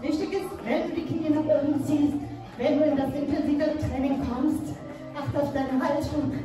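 Clear music plays in the background as a woman speaks at a high pitch with audible room echo. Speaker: fitness instructor. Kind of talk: workout instruction. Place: gym.

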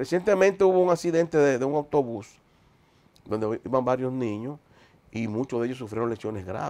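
A man with a dark, mellow tone and lively intonation, talking at a fairly quick pace broken by long, frequent pauses. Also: medium pitch for a man. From Dominican Republic. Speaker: road safety foundation president. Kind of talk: TV interview. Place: studio.

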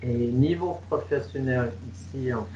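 With an English Canadian accent, a man speaks at a very slow pace over light background noise. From Canada, Toronto. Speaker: English coach and trainer. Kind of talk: webinar presentation. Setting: video call. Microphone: headset.

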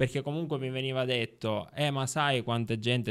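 The recording has a quiet background. A man talks at a moderate pace, his intonation fairly even. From Sicily (Ribera, Agrigento); Sicily. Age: 30s. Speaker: journalist and former local councillor; podcast guest. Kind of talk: casual interview. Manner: halting, many fillers. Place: studio. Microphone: studio mic.

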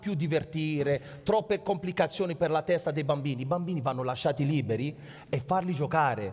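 Against a quiet background, a man talks at a moderate pace. His voice is somewhat breathy. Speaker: guest. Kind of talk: heated panel discussion on stage. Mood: indignant about Italian football. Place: stage.

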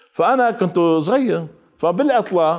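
Against a quiet background, a man speaks with a Mosul accent, his pitch swinging very widely. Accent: Iraqi Arabic, Mosul (Maslawi) dialect. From Iraq, Mosul; Iraq. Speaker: researcher and writer; guest. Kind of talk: TV interview. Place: studio. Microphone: lapel.

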